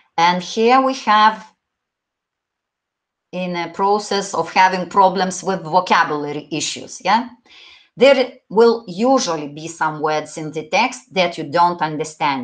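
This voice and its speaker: A woman with a Lithuanian accent talks at a fairly slow pace and medium pitch, with big swings in loudness, over a quiet background. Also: lively intonation. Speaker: English teacher. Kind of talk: online exam-prep lecture. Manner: halting, with fillers.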